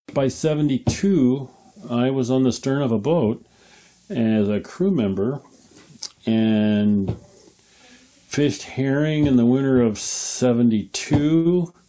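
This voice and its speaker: A man's very slow, medium-pitched speech with ordinary pitch variation, long, frequent pauses and noticeable background noise. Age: 70s. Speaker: retired commercial fisherman. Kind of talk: interview, personal life story. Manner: hesitant, many fillers.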